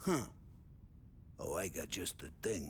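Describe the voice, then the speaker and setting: Over clear background noise, a man uses a loud, raspy, put-on character voice. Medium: video game. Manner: loud, jovial.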